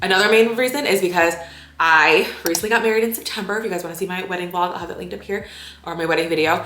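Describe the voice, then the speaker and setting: A woman talking at a very fast pace with big swings in loudness and ordinary pitch variation, amid audible room echo and noticeable background noise. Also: medium pitch for a woman. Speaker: lifestyle vlogger. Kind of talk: casual vlog talk to camera. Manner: animated.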